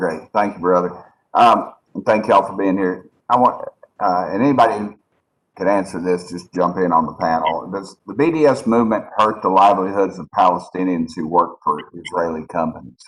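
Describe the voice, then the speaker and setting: A man with a very deep, low voice talks at a moderate pace, his pitch rising and falling in an ordinary way. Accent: East Tennessee. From East Tennessee. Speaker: congressman. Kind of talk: congressional hearing questioning. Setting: video call.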